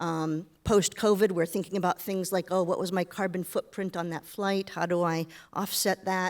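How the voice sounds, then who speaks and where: At a moderate pace and with hardly any pauses, a woman with an American accent speaks in a flat monotone at a medium pitch, the sound dry and close with no echo. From United States. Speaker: business director, panelist. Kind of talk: panel discussion.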